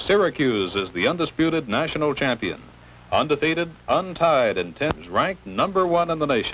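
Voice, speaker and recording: A man with vocal fry talks at a moderate pace, his intonation lively. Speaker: game announcer narrator. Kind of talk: 1960 Cotton Bowl newsreel/broadcast narration; sports film narration, play-by-play. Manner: formal, brisk announcer delivery. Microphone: old recording.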